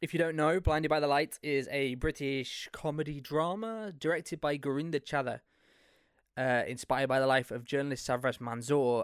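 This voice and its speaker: A man with an East Midlands accent speaks at a moderate pace, his fairly high pitch showing ordinary variation. The recording is very clean with a silent background. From England, Leicester. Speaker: podcast host. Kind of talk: solo monologue podcast.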